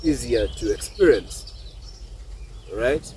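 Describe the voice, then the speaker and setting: A man's voice amid noticeable background noise. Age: young. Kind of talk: reflective monologue to camera. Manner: thoughtful, hesitant.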